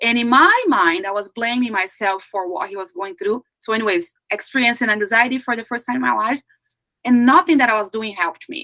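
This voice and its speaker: Recorded dry and close with no echo, a woman with a Brazilian Portuguese accent speaks at a moderate pace, her pitch fairly high, her tone bright and sharp, with ordinary pitch variation. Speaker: life coach. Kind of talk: interview.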